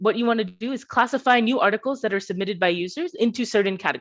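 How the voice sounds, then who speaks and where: A woman with a Bay Area accent speaks at a fairly high pitch with ordinary pitch variation. The background is quiet. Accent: American, Bay Area. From US West Coast, Bay Area California. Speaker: PhD student, machine learning researcher. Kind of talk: conference talk.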